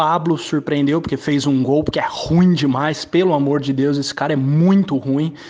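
A man speaks at a moderate pace with fairly even intonation. His pitch is fairly high. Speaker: football fan pundit. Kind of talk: football commentary. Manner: emphatic.

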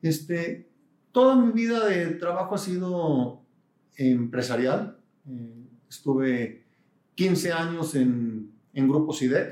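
A man speaks at a fairly high pitch with very wide pitch swings. His pace is very slow, broken by long, frequent pauses. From Mexico, Guadalajara. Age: 50s. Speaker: business executive and university board president. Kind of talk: interview.

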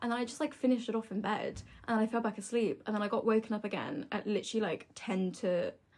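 This woman's somewhat breathy voice moves at a very fast pace. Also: fairly high pitch for a woman, fairly even intonation. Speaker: student. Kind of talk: casual chat.

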